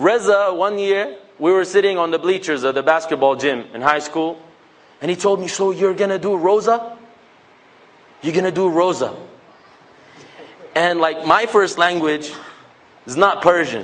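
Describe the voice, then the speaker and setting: A man's high, animated voice with a Levantine accent, moderate in pace, with long, frequent pauses. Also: ordinary pitch variation. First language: Levantine Arabic. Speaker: public speaker. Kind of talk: talk to a mosque audience.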